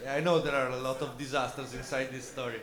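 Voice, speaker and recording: Through noticeable background noise and audible room echo, a man speaks with an Italian accent. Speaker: film director. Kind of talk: post-screening Q&A. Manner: halting, many fillers.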